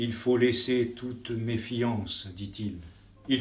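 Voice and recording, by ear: Someone reads text aloud. The delivery is natural.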